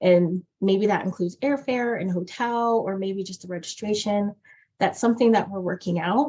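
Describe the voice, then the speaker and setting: A woman's voice sits at a medium pitch. It has a somewhat breathy quality. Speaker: nonprofit staff presenter. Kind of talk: meeting presentation. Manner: fast.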